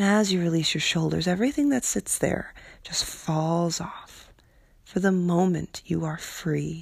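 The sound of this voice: Speaking at a fairly slow pace, a woman sounds somewhat breathy on a very clean recording with a silent background. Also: fairly low pitch for a woman, ordinary pitch variation.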